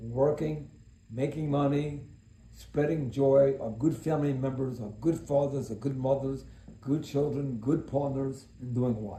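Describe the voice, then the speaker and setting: A somewhat breathy man's voice, fairly high in pitch with a dark, mellow tone, at a moderate pace in a room with audible echo. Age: 70s. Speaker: self-help speaker. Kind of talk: motivational monologue. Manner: serious; talkative.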